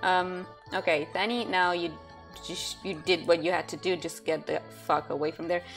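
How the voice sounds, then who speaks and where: A woman's fairly low voice, with faint music in the background. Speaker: gamer. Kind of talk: casual gameplay commentary. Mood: frustrated, playful swearing. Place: home room.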